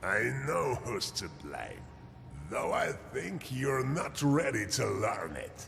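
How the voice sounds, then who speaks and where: A man puts on a character voice and talks at a very slow pace with clear background noise. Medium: video game. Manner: calm, measured.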